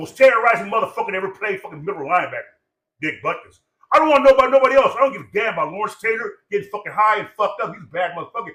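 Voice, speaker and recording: A man talks at a very fast pace in a raised, projected voice with a bright, sharp, animated tone. His intonation is lively, and his loudness swings widely. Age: 60s. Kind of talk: casual chat.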